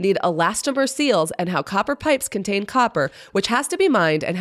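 Read aloud plainly, the passage has a lively intonation.

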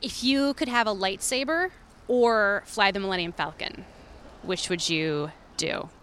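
A woman speaks at a fairly slow pace and medium pitch. Her pitch swings very widely. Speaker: podcast co-producer, street interviewer. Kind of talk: pre-recorded segment narration. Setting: outdoors, street interviews.

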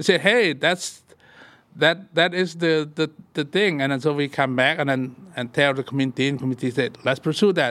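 A Lao accent at a moderate pace, with ordinary pitch variation. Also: man, fairly high pitch for a man. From Laos. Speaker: community organizer. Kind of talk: casual interview.

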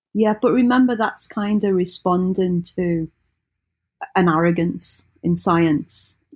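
Speaking very slowly in a British accent, a woman holds a medium pitch with ordinary pitch variation and very even loudness, captured in a very clean recording with a silent background. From Britain. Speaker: religious studies scholar. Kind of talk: in-depth interview.

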